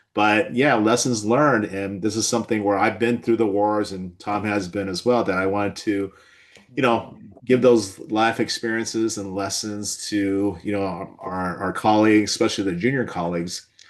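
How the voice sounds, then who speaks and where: A man with a Californian accent and fairly low pitch, moderate pace and fairly even intonation, against a quiet background. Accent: General American (Californian). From Southern California. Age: 60s. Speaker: physician and webinar host. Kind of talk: webinar discussion.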